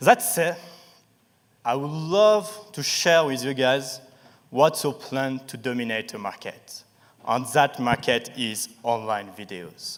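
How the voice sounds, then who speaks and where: Speech comes at a very slow pace in a French accent, with lively intonation. Loudness swings widely. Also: man, medium pitch for a man. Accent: sharp French. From France, Paris. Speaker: startup founder. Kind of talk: pitch presentation. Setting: stage with audience.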